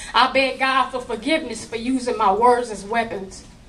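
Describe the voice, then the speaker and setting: A woman talks at a moderate pace while clear background noise runs behind her. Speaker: spoken word poet. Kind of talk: slam poetry performance.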